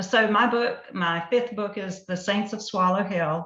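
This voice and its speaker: Very slowly, a woman with a Southern US accent speaks in a bright, sharp tone with fairly even intonation as room echo comes through. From US South. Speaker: novelist. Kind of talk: author presentation.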